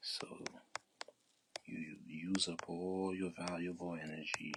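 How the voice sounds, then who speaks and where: In a relaxed tone, a man speaks with a very deep, low pitch and flat, monotone intonation. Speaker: painting livestreamer, artist. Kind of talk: live painting tutorial, casual chat. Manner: soft-spoken, not talking loud; relaxed, conversational.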